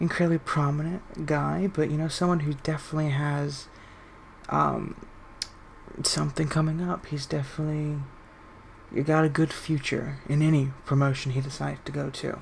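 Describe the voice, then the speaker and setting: Quiet speech comes at a moderate pace over noticeable background noise. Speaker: video game wrestling commentator. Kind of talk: live commentary. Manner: laid back.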